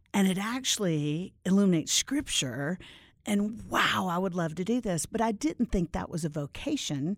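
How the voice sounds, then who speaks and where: Over a silent background in a very clean recording, a woman speaks at a moderate pace with a medium pitch. Her pitch swings very widely. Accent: American. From Florida (Orlando). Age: 50s. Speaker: Bible teacher and author. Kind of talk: casual interview. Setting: studio.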